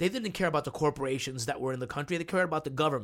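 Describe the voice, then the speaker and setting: Here a man speaks at a fairly high pitch in a plain, everyday voice. His pitch varies in an ordinary way, and the recording is very clean with a silent background. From New Jersey (Union City), born in Cuba. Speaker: actor. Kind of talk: casual chat.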